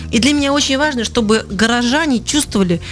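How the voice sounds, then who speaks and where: This woman talks fairly quickly while noticeable background noise fills the recording. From Kemerovo, Siberia, Russia. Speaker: communications agency owner and lecture speaker. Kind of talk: radio interview. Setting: radio studio.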